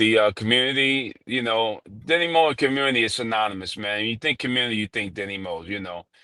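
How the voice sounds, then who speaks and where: A man talks very fast in a dry, close sound with no echo. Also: medium pitch for a man, ordinary pitch variation, hardly any pauses. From New York. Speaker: barber and shop owner. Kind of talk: interview storytelling. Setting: live stream. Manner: casual, filler-heavy.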